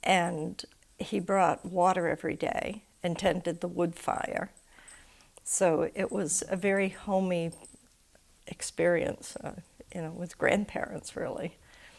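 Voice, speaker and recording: With an American accent, a woman speaks in a medium pitch and monotone, flat intonation at a fairly slow pace, leaving long, frequent pauses. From Maine, US (Harpswell). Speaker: local resident interviewee. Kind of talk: oral history interview.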